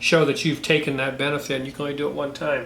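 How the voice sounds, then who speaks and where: Audible room echo and noticeable background noise surround a man speaking at a fairly high pitch. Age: 60s. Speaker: board game reviewer. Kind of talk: casual game review. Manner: animated.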